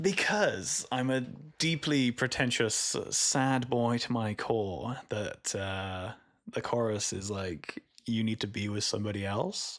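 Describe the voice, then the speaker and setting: A man at a very slow pace, medium in pitch. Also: ordinary pitch variation. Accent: Welsh. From Wales, Cardiff area. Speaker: musician. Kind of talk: podcast interview.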